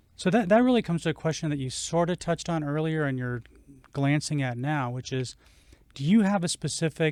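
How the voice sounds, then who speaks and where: A man's normal speaking voice at a fairly high pitch, fairly quick in pace and lively in intonation, in a dry, close sound with no echo on a very clean recording with a silent background. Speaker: podcast co-host. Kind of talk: interview questions.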